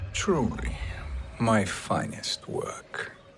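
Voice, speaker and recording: A man performs a put-on character voice against clear background noise. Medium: video game. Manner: smug, conspiratorial.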